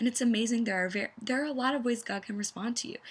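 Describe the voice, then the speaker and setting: Vocal fry runs through a woman's lively intonation. The recording is very clean, with a silent background. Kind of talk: teaching video. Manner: fast.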